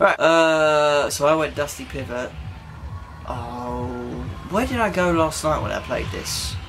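A man at a fairly slow pace, with music in the background. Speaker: gamer. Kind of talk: gameplay commentary. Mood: self-deprecating, casual, amused. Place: home room.

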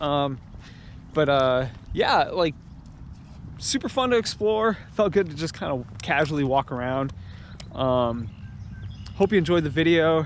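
Over light background noise, a man talks at a fairly slow pace with long, frequent pauses, the sound dry with no echo. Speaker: explorer vlogger. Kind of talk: casual vlog chat. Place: open country. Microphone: phone near.

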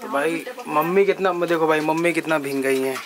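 Fairly high for a man, this voice moves at a fairly quick pace with ordinary pitch variation. Faint background noise can be heard.

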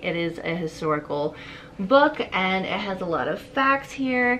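A woman's voice with very wide pitch swings over light background noise. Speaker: book vlogger. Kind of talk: casual vlog chat. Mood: excited, cheerful. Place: home room. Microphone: camera far.

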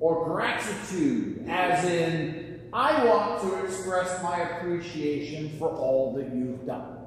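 Against light background noise and strong room echo, a man talks at a very slow pace. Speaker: preacher. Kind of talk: sermon. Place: church. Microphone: camera far.

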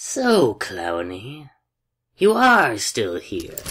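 A put-on character voice from a man, fairly bright with a slightly husky edge, very slow, with very wide pitch swings. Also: medium pitch for a man.

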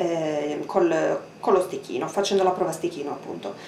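A woman talks at a moderate pace. Light background noise and audible room echo are present. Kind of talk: casual product review and tutorial. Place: kitchen.

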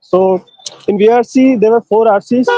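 Over music in the background, a man talks at a fairly slow pace with ordinary pitch variation, the sound dry with no echo. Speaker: exam test-taker giving review. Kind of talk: exam analysis commentary. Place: street. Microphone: lapel.

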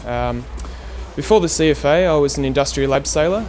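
Against music in the background, a man speaks at a very fast pace. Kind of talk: interview answer. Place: street.

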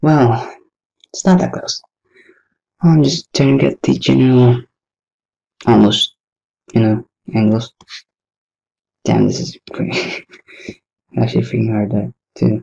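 The voice is quiet and fairly slow, broken by long, frequent pauses. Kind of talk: casual commentary while drawing. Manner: quiet, low-key, unenthusiastic.

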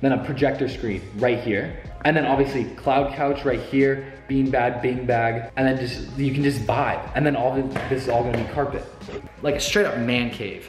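Faint music plays in the background, with audible room echo. A man speaks at a moderate pace with monotone, flat intonation. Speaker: vlogger. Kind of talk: casual vlog chat. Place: empty room. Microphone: phone near.

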